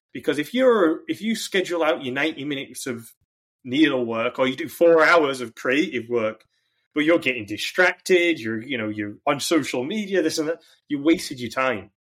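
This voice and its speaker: A man talks at a moderate pace with lively intonation. The recording is very clean, with a silent background. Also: fairly high pitch for a man. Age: 30s. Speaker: performance coach for entrepreneurs. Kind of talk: podcast interview. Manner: hesitant, frequent ums and restarts.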